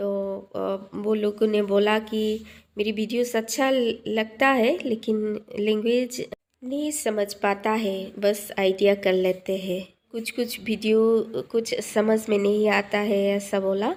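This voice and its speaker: A woman with a non-native accent speaks at a fairly high pitch with fairly even intonation. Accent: non-native Hindi, self-described weak Hindi. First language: a regional language other than Hindi (speaking Hindi). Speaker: cooking vlogger. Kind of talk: cooking tutorial. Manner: halting, many fillers.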